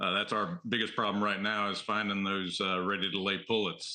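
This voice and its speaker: With a Southern accent, a man speaks in a fairly low pitch and a bright, sharp tone, his intonation flat and monotone. The pace is moderate, and the background is quiet. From US South, the Carolinas. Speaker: egg farmer. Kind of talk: TV news interview. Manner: halting, many fillers.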